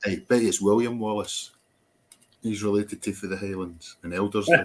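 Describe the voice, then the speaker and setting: In a Scottish accent, a fairly low-pitched man speaks at a moderate pace with fairly even intonation but big swings in loudness. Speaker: live stream host. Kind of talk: casual chat.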